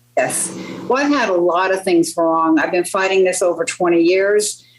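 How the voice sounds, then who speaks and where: A woman speaking with an American accent keeps a moderate pace, with noticeable background noise behind her. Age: 70s. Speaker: patient. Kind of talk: testimony.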